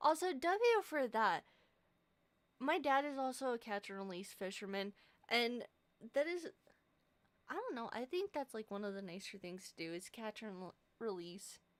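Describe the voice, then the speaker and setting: A soft-spoken woman talks at a moderate pace with a fairly high pitch and very wide pitch swings. Long, frequent pauses break up her speech, and the sound is dry and close with no echo. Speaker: streamer. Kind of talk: casual chat. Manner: quiet, soft-spoken; rambling, sidetracked.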